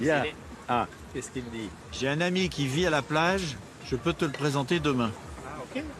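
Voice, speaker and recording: A man talks at a moderate pace and fairly high pitch, with ordinary pitch variation and big swings in loudness. Long, frequent pauses break up his speech over noticeable background noise. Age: 60s. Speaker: travel documentary host. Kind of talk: casual chat.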